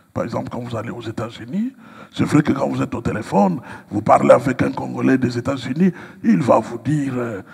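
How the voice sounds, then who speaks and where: A man at medium pitch against noticeable background noise. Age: 60s. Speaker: pastor and writer. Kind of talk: interview. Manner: hesitant, many fillers.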